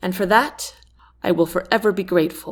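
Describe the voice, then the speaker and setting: Putting on a strained character voice, a woman speaks at a moderate pace with a medium pitch and ordinary pitch variation. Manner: emotional, grateful.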